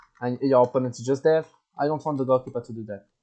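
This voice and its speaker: With a French accent, a man speaks in a medium pitch and fairly even intonation. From France. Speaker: gaming tournament organizer. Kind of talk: tutorial. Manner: halting, many repetitions.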